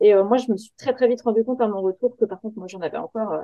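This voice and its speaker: A woman with an unremarkable speaking voice, fairly high in pitch, at a fairly quick pace. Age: 30s. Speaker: software tester and rally navigator. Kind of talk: interview.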